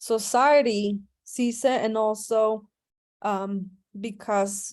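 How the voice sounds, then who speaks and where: Her pitch fairly high and her intonation fairly even, a woman speaks. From Indiana, US Midwest (born in Mexico). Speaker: university instructor. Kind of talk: lecture. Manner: halting, many fillers.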